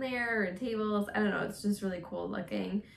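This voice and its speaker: A woman talks fairly slowly while noticeable background noise fills the clip. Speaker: vlogger. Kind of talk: casual monologue vlog. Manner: casual, filler-heavy.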